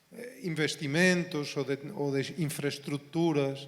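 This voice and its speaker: With a non-native accent, a man speaks with a fairly high pitch and fairly even intonation. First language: Spanish (speaking Portuguese). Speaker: university professor. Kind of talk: panel discussion.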